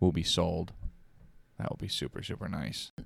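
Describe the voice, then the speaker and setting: A man's voice on a very clean recording with a silent background. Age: 30s. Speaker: police department overnight worker. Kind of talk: casual chat.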